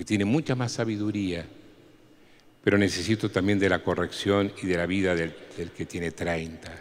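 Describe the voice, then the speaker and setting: A man with an Argentine accent speaks at a very deep, low pitch. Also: ordinary pitch variation, moderate pace. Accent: Argentine Spanish (Rioplatense). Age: 60s. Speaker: priest. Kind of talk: talk to catechists.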